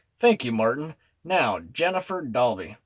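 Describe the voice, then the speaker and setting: Putting on a character voice, a man speaks at a moderate pace in a medium pitch with very wide pitch swings. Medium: read story. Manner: mild, dryly amused.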